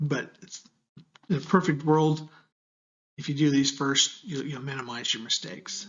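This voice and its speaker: Somewhat breathy and fairly high in pitch, a man with an American accent speaks at a moderate pace. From United States. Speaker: university lecturer. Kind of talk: tutorial. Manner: casual, conversational.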